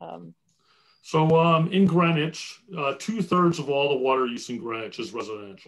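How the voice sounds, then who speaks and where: A man talks in a plain, everyday voice at a moderate pace, fairly high in pitch with lively intonation. His loudness swings widely against a quiet background. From New Jersey. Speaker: water utility executive; panelist. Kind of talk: webinar presentation and Q&A. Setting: video call. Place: home room. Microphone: video call.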